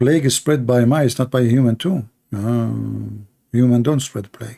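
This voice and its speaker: A man's dark, mellow tone with a non-native accent. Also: medium pitch for a man, moderate pace. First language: not English. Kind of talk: live debate commentary. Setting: live stream. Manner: animated; sarcastic.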